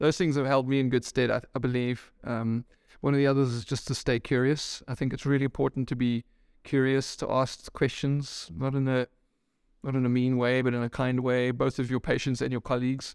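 Using flat, monotone intonation, a man with a medium pitch talks at a fairly quick pace. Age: 40s. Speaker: head and neck surgeon. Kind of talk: interview. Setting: doctor's practice.

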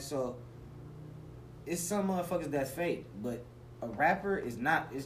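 A man talks with an American accent and ordinary pitch variation. Noticeable background noise runs underneath. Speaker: rapper. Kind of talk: casual interview.

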